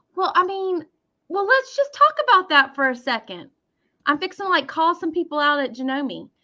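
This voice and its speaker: In a strong Southern US accent, a woman projects a raised voice at an extremely high pitch. Her tone is bright and sharp, and her pitch swings very widely. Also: moderate pace. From US South, Mississippi. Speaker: sewing educator. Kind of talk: casual chat.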